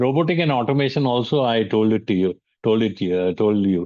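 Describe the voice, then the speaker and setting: Over a quiet background, a man talks at a fairly quick pace. He has an Indian accent. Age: 70s. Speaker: business mentor and speaker. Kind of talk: lecture. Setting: online webinar. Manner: halting, many fillers.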